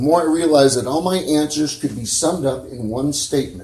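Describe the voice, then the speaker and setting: Somewhat breathy and dark, mellow in tone, a man with an American accent speaks at a moderate pace. His pitch is fairly high, and room echo is audible. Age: 60s. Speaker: preacher. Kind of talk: sermon. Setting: church.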